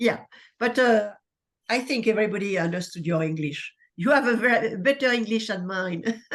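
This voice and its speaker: Speaking in a French accent, a woman keeps a fairly high pitch, ordinary pitch variation and a moderate pace. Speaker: lecture moderator. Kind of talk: Q&A moderation.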